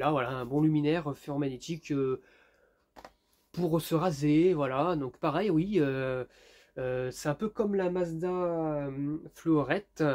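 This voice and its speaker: In a very clean recording with a silent background, a man speaks at a very slow pace with long, frequent pauses and ordinary pitch variation. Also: fairly high pitch for a man. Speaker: YouTuber, lamp collector. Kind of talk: casual vlog review. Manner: hesitant, many fillers.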